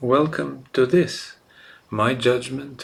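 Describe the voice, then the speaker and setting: Speaking very slowly, a man talks with a non-native accent. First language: not English. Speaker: gaming YouTuber. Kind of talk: narrated game guide presentation.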